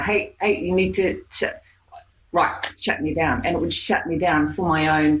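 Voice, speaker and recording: Somewhat breathy, a woman with an Australian accent talks at a moderate pace. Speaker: hypnotherapist. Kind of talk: podcast interview answer. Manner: casual, conversational.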